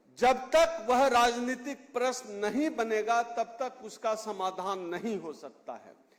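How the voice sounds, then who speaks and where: This man's voice sits at an extremely high pitch with ordinary pitch variation, heard through noticeable background noise. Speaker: political activist speaker. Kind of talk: public speech. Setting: stage with audience. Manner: loud.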